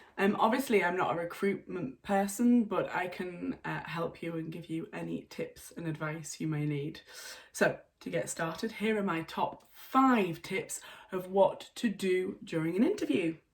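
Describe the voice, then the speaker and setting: A woman with a Yorkshire accent speaks at a moderate pace, her pitch swinging very widely and her loudness rising and falling sharply, in a somewhat breathy voice. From North Yorkshire, England. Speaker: English teacher. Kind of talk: online English lesson to camera. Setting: home.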